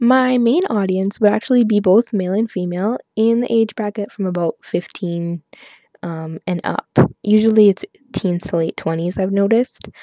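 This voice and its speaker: Speaking at a moderate pace in a medium pitch, a woman with a plain, everyday voice and a Canadian accent sounds dry and close, with no echo. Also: ordinary pitch variation. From Canada, Saskatchewan. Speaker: hip-hop blogger. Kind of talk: interview monologue. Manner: casual, many fillers.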